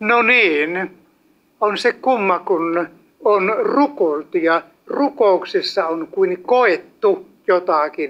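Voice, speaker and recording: Lively intonation marks this man's high-pitched voice. He talks at a very slow pace. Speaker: evangelist preacher. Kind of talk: sermon. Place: hall.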